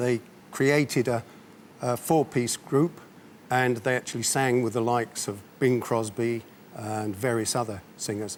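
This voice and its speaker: At a moderate pace, a man talks in a medium pitch with ordinary pitch variation and an ordinary speaking voice. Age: 60s. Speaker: amateur singer and stage performer. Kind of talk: TV interview.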